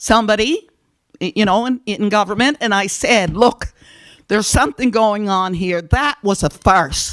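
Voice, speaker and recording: Her tone is animated and her pitch fairly high, with ordinary pitch variation. This woman talks at a fairly slow pace in a dry, close sound with no echo. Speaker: community food program organizer. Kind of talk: public presentation at council meeting. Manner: loud.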